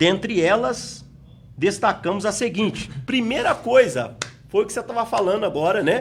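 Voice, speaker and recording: A high-pitched man at a moderate pace, with noticeable background noise. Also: lively intonation. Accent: Espírito Santo. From Espírito Santo, Brazil. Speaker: pastor and Bible school teacher. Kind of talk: Bible study lesson. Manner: sounds like arguing, forceful.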